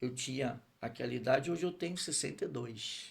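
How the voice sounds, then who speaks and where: This man's voice is fairly high in pitch and somewhat breathy. His intonation stays fairly even. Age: 60s. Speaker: pastor. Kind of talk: testimony.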